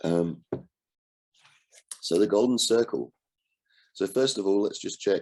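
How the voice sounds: A man's fairly low, slightly mellow voice at a fairly slow pace with ordinary pitch variation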